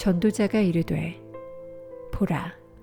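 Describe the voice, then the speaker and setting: With music playing in the background, a woman with a fairly low pitch speaks in a calm tone at a very slow pace. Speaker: voice actor. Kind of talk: scripture reading. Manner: calm, slow.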